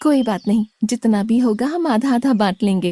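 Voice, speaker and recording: In a cartoonish character voice, a female-sounding speaker talks at a moderate pace with a fairly high pitch. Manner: soft, affectionate.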